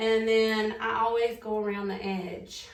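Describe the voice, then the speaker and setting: A woman with a Southern US accent and a fairly high pitch, amid noticeable background noise. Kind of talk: casual talk to camera.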